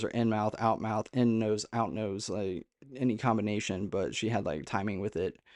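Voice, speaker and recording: This is an ordinary speaking voice at a moderate pace. The background is quiet. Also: man, dry, close sound with no echo. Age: 30s. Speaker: spiritual content creator. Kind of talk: monologue to camera.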